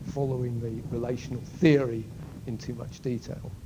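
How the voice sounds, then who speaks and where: A man talks at a moderate pace and a medium pitch, with fairly even intonation. Room echo is audible. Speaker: university lecturer. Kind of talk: lecture. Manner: halting.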